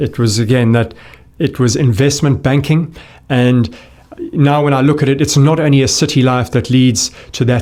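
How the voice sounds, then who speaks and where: With a South African accent, a man speaks at a fairly quick pace and a medium pitch, with ordinary pitch variation. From South Africa, Johannesburg. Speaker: gut health expert. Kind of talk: interview conversation.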